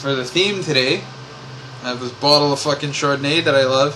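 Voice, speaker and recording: A man mumbles at a moderate pace, with audible room echo and noticeable background noise. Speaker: vlogger. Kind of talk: personal vlog monologue. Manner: mumbling; rambling, hesitant with many fillers.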